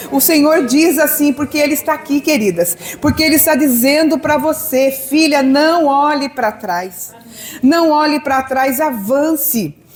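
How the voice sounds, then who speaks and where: The background carries noticeable noise. The talking goes at a fairly slow pace. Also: woman, high pitch for a woman, ordinary pitch variation, very even loudness. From southern Brazil. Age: 60s. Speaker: pastor. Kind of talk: sermon.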